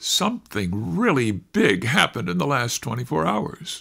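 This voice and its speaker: Using a put-on character voice, a man speaks at medium pitch and a moderate pace. The recording is very clean, with a silent background. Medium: read story.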